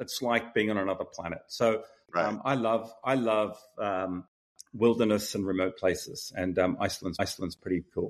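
A man at a medium pitch and moderate pace, ordinary pitch variation, quiet background. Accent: Australian. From Australia. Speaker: tech startup founder and CEO. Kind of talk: interview.

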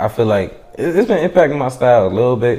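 A man with an American accent speaks at a moderate pace. Noticeable background noise runs behind him. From US, DC/Maryland/Virginia area. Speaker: rapper and audio engineer. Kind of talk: casual interview.

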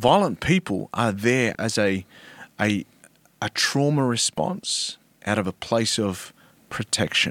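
At a very slow pace, a man talks with long, frequent pauses in a dry, close sound with no echo. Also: medium pitch for a man, lively intonation, very clean recording, silent background. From Australia. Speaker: former rugby league player and mental health advocate. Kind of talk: casual interview conversation. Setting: studio, in person. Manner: articulate, storytelling.

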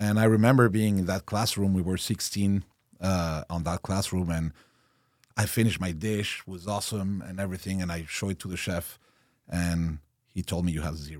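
Intonation stays fairly even at a moderate pace. The recording is very clean, with a silent background. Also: man, very deep, low pitch for a man. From Mexico. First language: Spanish and French. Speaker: chef and restaurant owner. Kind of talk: casual interview. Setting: studio with headphones. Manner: halting, many fillers.

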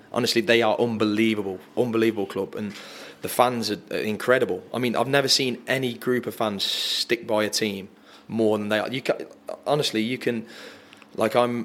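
A man with an English accent speaks at a moderate pace with fairly even intonation. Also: medium pitch for a man. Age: 30s. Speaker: footballer. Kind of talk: casual chat.

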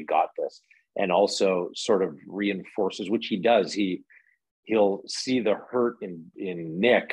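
A man with a Canadian accent, fairly low in pitch, with ordinary pitch variation and a fairly slow pace. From small town in British Columbia, Canada. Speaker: actor. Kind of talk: casual interview chat. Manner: halting, with repetitions and fillers.

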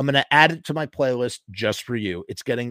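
Pitch shifts by ordinary amounts as someone reads aloud in a natural reading voice.

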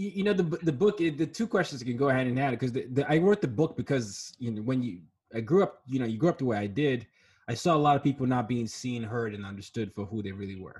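Very fast and somewhat breathy, a man speaks at a medium pitch with very wide pitch swings. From Nigeria, raised in several countries. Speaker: diversity consultant and author. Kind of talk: interview. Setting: video call.

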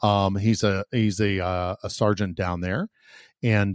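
A man talks in a fairly low pitch with ordinary pitch variation, his voice dry and close with no echo against a quiet background. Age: 50s. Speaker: podcast host, police officer. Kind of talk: casual chat. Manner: halting.

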